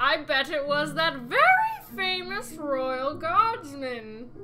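Using a put-on character voice, a woman speaks at high pitch and a fairly slow pace over clear background noise. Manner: loud.

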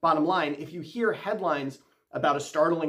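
Over a quiet background, a man with an American accent talks at a moderate pace in a high pitch. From United States. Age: 40s. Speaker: physician and medical news commentator; medical news commentator. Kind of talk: scripted medical commentary. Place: home room.

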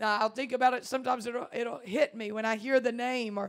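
A woman talks at a very fast pace with a high pitch. Her intonation is monotone and flat, and the background is quiet. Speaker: guest preacher. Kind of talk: sermon. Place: church. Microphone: handheld.

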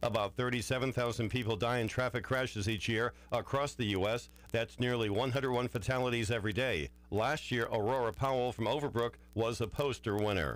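At a moderate pace, the voice shows vocal fry and ordinary pitch variation, with a dry sound and no echo. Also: man. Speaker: radio news reader. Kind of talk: radio news and weather reading. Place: studio.

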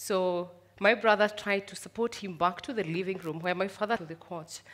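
A woman's fairly low pitch, fairly even intonation and moderate pace. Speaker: speaker. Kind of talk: personal storytelling talk. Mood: reflective, gently smiling. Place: stage. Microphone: headset.

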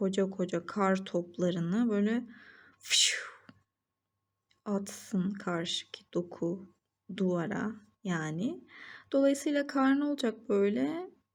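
With long, frequent pauses, a woman at medium pitch speaks at a very slow pace in lively intonation. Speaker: biology tutor. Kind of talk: educational lesson narration.

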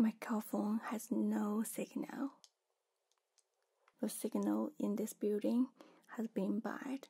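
A soft-spoken woman at a very slow pace, over a quiet background. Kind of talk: roleplay, soft spoken to viewer. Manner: soft, worried ASMR murmur. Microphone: studio mic.

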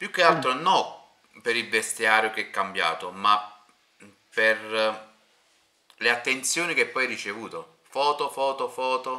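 The speech comes at a fairly slow pace with lively intonation and long, frequent pauses over a quiet background. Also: man. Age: 30s. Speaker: interviewer and streamer; interviewer, streamer. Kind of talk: casual interview. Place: home room.

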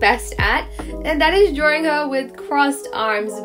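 Against music in the background, a woman speaks at a moderate pace in a high voice. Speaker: art channel host. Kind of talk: casual vlog chat narration.

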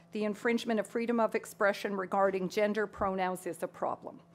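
This is an ordinary speaking voice from a woman. Her pitch sits fairly high, with fairly even intonation. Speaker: debate moderator reading audience questions. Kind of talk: moderating, reading questions. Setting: stage with audience. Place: hall. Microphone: podium.

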